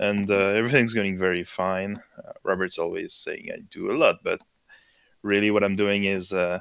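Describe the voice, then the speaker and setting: A man with a French accent and a fairly low voice speaks at a moderate pace. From France. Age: 20s. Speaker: sim racing driver and league admin. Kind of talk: casual chat.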